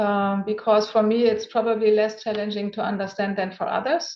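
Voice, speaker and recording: In a German accent, a woman with a fairly high voice speaks at a moderate pace with ordinary pitch variation. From Germany. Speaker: venture capital investor. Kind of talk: interview.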